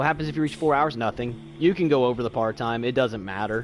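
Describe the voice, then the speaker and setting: Lively intonation marks a man speaking at a fairly quick pace and a medium pitch. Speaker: video game streamer. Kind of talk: live gameplay commentary. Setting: livestream with chat. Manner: fast.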